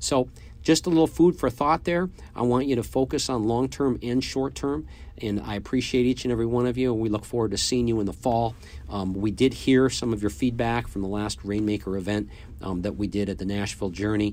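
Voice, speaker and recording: A man speaks at a fairly quick pace in an ordinary speaking voice, his intonation lively. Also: medium pitch for a man. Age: 50s. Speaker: podcast host and business coach for sales agents. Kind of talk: solo motivational business talk. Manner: casual, with frequent filler words.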